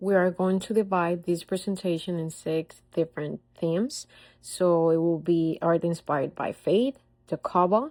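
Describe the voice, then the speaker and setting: In a very clean recording with a silent background, a woman with a non-native accent speaks at a fairly low pitch. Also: ordinary pitch variation, moderate pace. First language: not English. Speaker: student presenter. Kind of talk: class presentation. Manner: reading from a script, slightly halting.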